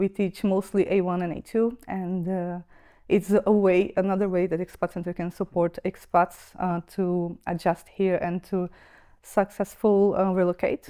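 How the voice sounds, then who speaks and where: A woman's dark, mellow, medium-pitched voice, flat and monotone at a fairly slow pace, with a Brazilian accent. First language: Brazilian Portuguese. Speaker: expat centre staff member. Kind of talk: podcast interview. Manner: hesitant, many fillers.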